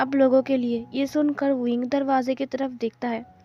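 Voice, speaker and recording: A woman with a high pitch speaks as music plays in the background. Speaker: fanfiction story explainer. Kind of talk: story retelling. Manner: casual.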